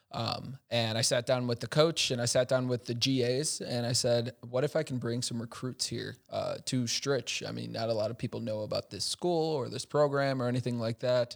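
An ordinary speaking voice from a man: medium pitch, moderate tempo, fairly even intonation. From Chicago, US. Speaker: tech startup executive. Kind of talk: casual interview.

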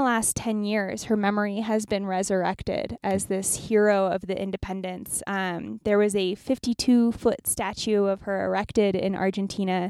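An unremarkable speaking voice goes at a moderate pace. The recording is very clean, with a silent background. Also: woman. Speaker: travel podcast co-host. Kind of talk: casual chat. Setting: in a car. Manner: giggly, laughs often.

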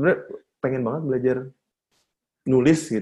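Here is a man speaking. His tone is dark and mellow. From Bandung, Indonesia. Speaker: drummer and marketing manager. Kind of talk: casual chat.

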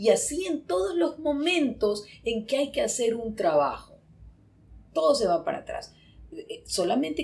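With vocal fry and very wide pitch swings, a woman talks at a moderate pace. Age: 60s. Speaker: psychologist. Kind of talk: casual chat.

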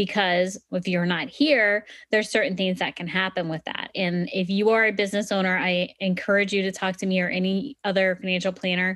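A woman with a normal speaking voice at medium pitch, at a fairly quick pace with hardly any pauses and fairly even intonation. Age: 30s. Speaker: financial podcast host and planner. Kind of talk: educational monologue. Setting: screen-shared online session.

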